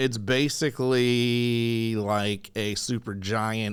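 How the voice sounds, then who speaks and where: Very clean and recorded against a silent background, a man's medium-pitched voice moves at a very slow pace. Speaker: podcast host. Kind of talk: casual podcast talk. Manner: chatty, rambling.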